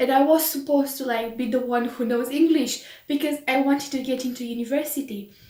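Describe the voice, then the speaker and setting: Over noticeable background noise, a woman with a Romanian accent talks at a moderate pace in a high pitch. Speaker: vlogger. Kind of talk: casual chat. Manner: animated.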